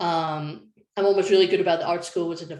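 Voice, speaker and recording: A woman with a Scottish accent speaks in a fairly low voice. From Scotland. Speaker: design lead. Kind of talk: panel presentation.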